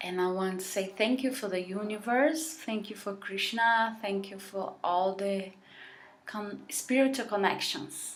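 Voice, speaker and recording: The speaker has a non-native accent and talks at a fairly slow pace with ordinary pitch variation, with room echo audible. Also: woman, medium pitch for a woman. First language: Portuguese. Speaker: vlogger. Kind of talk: heartfelt vlog monologue. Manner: halting.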